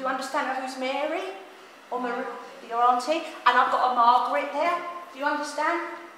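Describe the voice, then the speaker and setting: A woman with a high pitch projects her raised voice at a fairly quick pace, keeping fairly even intonation with long, frequent pauses, amid audible room echo and noticeable background noise. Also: big swings in loudness. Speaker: spiritual medium. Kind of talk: live platform mediumship demonstration. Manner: fast.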